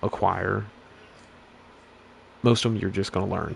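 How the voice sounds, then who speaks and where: This man speaks with a fairly low pitch. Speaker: gaming YouTuber. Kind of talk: casual game review rant. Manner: monotone; halting, many restarts.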